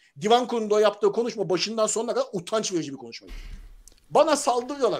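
Against a quiet background, a man speaks very fast in a high pitch. His intonation is lively, with big swings in loudness. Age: 40s. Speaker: football commentator; football commentator panelist. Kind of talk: casual chat. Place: home room. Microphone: video call.

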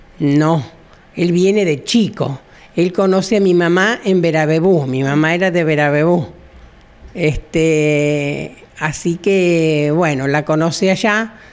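A woman's fairly low-pitched voice at a very slow pace, with very even loudness. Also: ordinary pitch variation. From Argentina, southern Santa Fe province. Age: 70s. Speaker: retired hairdresser. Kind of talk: interview, personal life story. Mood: warm, nostalgic, smiling. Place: shop. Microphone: handheld.

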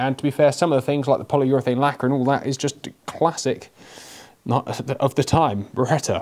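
A man talks at a fairly quick pace. The background is quiet. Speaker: gun reviewer. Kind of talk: product review commentary. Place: shop.

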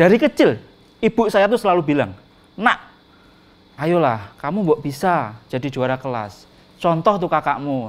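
A man speaks at a fairly slow pace with long, frequent pauses, his animated, playful tone carrying very wide pitch swings. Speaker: stand-up comedian. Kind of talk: stand-up comedy. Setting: stage with audience. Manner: playful, mimicking sounds and animals. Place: stage. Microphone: handheld.

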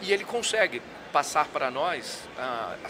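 Noticeable background noise fills the recording. The speaker is a man. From interior of Rio de Janeiro, Brazil. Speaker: insurance executive. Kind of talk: casual interview. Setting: live at a conference. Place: hall. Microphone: studio mic.

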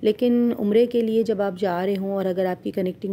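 This woman's voice sits at a medium pitch, with a dark, mellow tone. She talks at a moderate pace, and her intonation stays fairly even. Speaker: travel vlogger. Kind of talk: vlog narration.

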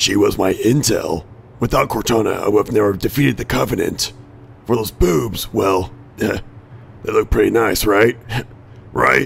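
A man talks at medium pitch with long, frequent pauses. Background noise is clearly audible. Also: moderate pace. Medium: machinima. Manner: defensive, then furious and profane.

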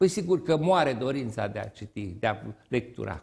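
Somewhat breathy, a man speaks with very wide pitch swings. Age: 70s. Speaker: retired teacher and writer; retired teacher. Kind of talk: TV interview. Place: studio.

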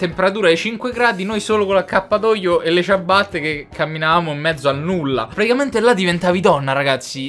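At a fairly quick pace and with ordinary pitch variation, the speech has faint music in the background. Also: man. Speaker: youtuber. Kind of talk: casual vlog chat. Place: home room.

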